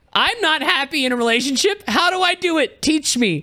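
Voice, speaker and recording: A man with an American accent uses a raised, projected voice in a bright, sharp tone. He moves at a moderate pace with very wide pitch swings. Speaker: streamer and content creator. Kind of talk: casual chat.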